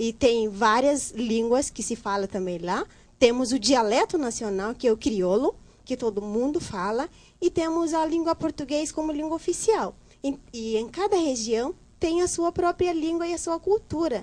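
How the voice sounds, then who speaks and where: Against a quiet background, a woman with a high-pitched voice speaks at a moderate pace, her pitch swinging very widely. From Guinea-Bissau. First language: Guinea-Bissau Creole (speaking Portuguese). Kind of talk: casual chat.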